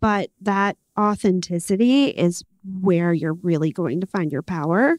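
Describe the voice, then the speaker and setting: With a normal speaking voice, a woman talks at a moderate pace and medium pitch, her intonation showing ordinary pitch variation, in a dry, close sound with no echo. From New York, Puerto Rican heritage. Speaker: panel moderator. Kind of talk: panel discussion.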